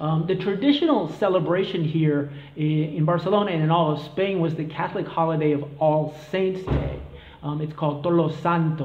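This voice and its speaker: The speaker has an American accent and a moderate pace, with fairly even intonation. Audible room echo and noticeable background noise are present. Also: man, fairly high pitch for a man. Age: 40s. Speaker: vlogger on expat life. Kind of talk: casual explainer vlog. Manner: hesitant, many fillers.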